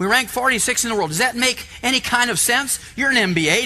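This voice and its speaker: Lively in intonation, a man speaks in a raised, projected voice with a bright, sharp tone. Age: 60s. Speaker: health lecturer. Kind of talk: lecture to live audience. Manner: animated.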